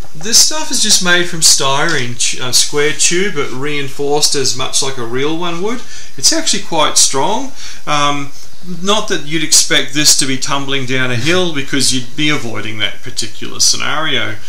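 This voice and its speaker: A man speaks with ordinary pitch variation. There is audible room echo. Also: moderate pace. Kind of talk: interview answer. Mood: relaxed, enthusiastic. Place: home room. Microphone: camera far.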